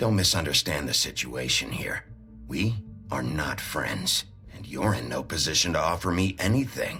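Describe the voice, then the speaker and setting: Over clear background music, someone performs a put-on character voice at a moderate pace. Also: man, very deep, low pitch for a man. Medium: machinima. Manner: blunt, gruff.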